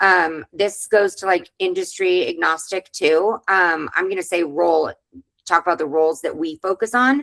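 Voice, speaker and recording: An ordinary speaking voice moves at a moderate pace with ordinary pitch variation, captured with a dry, close sound and no echo. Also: woman, medium pitch for a woman. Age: 40s. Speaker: webinar host, virtual assistant agency owner. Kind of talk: webinar discussion.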